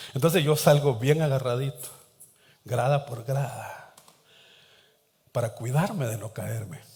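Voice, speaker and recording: Audible room echo surrounds a somewhat breathy voice moving at a fairly slow pace with long, frequent pauses. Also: man. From Latin America, coastal port town. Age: 60s. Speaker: pastor. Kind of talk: sermon.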